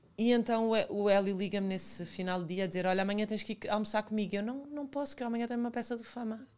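In a Lisbon accent, a woman speaks at a very fast pace with hardly any pauses. Her pitch is fairly high, with ordinary variation. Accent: European Portuguese, Lisbon. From Portugal, Lisbon and Alentejo (Santo André). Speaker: TV presenter and former model. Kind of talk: casual chat.

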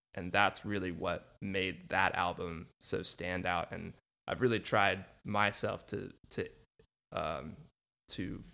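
A bright, sharp tone on a very clean recording with a silent background. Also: man. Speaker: podcast host and music teacher. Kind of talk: casual interview chat.

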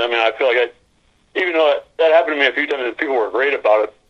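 A man talks at a fast pace with a fairly bright tone.

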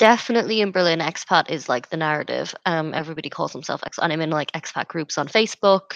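A woman with an Irish accent speaks at a very fast pace with hardly any pauses, her fairly low pitch showing ordinary variation in a dry, close sound with no echo. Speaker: podcast co-host. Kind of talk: casual chat.

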